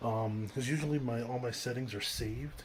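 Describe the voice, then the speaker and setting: The somewhat breathy voice moves at a fairly quick pace with ordinary pitch variation. Audible room echo surrounds it. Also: man. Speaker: woodworker and small business owner vlogging. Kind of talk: casual vlog talk. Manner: hesitant, many fillers.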